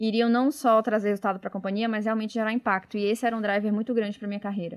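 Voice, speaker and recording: A woman's fairly high voice in a very clean recording with a silent background. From Bahia, Brazil (Salvador). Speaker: innovation manager. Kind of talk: casual interview.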